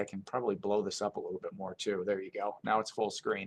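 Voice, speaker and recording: Fairly quick male speech in a quiet setting. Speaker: TV meteorologist giving a seminar talk. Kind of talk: technical presentation. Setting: seminar audience. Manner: fast.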